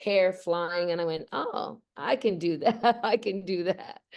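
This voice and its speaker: A woman's fairly low pitch, ordinary pitch variation, and a plain, everyday voice. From Australia, moved to Canada at eight. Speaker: voice actress. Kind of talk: interview.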